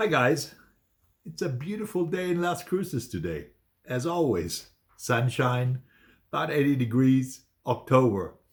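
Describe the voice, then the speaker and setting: In a very clean recording with a silent background, a somewhat breathy man with a medium pitch speaks at a fairly slow pace, making very wide pitch swings and long, frequent pauses. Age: 60s. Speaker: photographer and vlogger. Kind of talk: casual vlog monologue. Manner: hesitant, many fillers.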